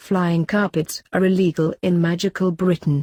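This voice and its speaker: A put-on character voice at a middle pitch delivers its lines at a moderate pace in a monotone, flat intonation, with hissing on the recording. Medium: read story. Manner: cold, sharp, hissing.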